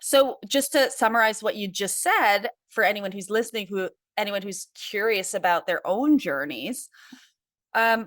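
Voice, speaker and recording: Heard in a very clean recording with a silent background, a woman uses an ordinary speaking voice, fairly high in pitch, with lively intonation at a moderate pace. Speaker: podcast host and life coach. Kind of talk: interview.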